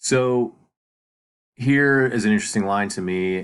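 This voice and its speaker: With fairly even intonation, a man talks over a quiet background. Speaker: teacher. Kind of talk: lecture. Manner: hesitant, many fillers.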